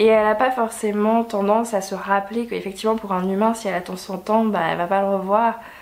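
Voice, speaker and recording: There is noticeable background noise behind a woman speaking at a moderate pace. Her pitch is fairly high. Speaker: book YouTuber. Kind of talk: casual vlog review.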